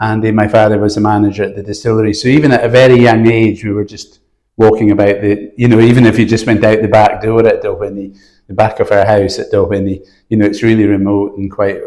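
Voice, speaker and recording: Speaking very fast in a Scottish Highland accent, a man uses a fairly low pitch and a dark, mellow tone, his intonation monotone and flat. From Scottish Highlands. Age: 60s. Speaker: mountain guide. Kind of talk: interview. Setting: indoors, windy outside.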